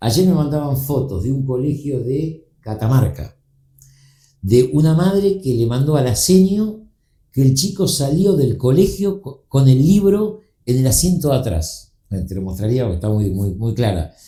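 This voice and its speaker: A man of medium pitch speaks in a dark, mellow, somewhat breathy tone with very wide pitch swings. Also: fairly slow pace. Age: 60s. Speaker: book publisher. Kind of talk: casual chat. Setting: studio.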